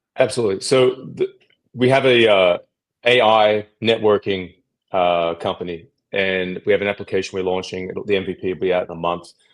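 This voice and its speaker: A man's fairly low voice with an Australian accent, ordinary pitch variation and a fairly quick pace. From Australia, Sydney. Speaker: AI networking startup founder. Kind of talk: podcast interview.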